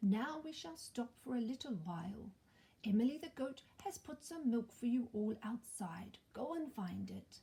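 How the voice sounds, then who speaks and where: A soft-spoken woman puts on a character voice pitched fairly high. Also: moderate pace. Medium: read story. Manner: solemn, kindly.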